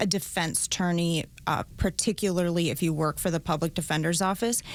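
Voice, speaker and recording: A woman speaks with a Minnesota accent. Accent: Minnesota accent, always noticeable. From rural Minnesota. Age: 40s. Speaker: prosecutor. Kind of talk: interview.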